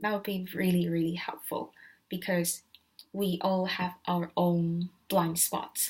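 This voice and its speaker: A somewhat breathy woman at a very slow pace, with monotone, flat intonation. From Asia. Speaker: student. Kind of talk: vlog tutorial. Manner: hesitant with filler words.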